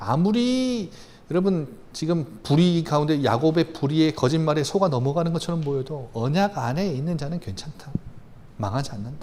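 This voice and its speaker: A man's gentle tone at a fairly high pitch, with audible room echo. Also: lively intonation. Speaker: pastor. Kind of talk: sermon. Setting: church. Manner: soft, gentle today; fast.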